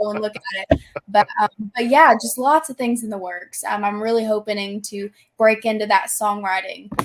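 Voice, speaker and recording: Her fairly high voice has fairly even intonation but big swings in loudness as this woman with an American accent speaks at a moderate pace, the sound dry and close with no echo. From US South. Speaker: country singer-songwriter. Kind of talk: casual interview chat.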